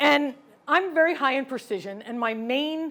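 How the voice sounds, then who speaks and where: A woman speaks with an American accent at a moderate pace. Her intonation is lively. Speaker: keynote speaker, former chemist and operations manager. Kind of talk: keynote talk.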